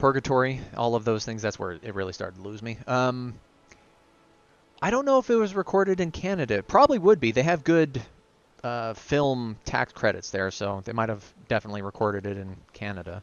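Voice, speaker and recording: Using an ordinary speaking voice, a man talks at a fairly quick pace and medium pitch with lively intonation. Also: big swings in loudness. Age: 30s. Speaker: gaming streamer. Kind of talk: live commentary. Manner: casual.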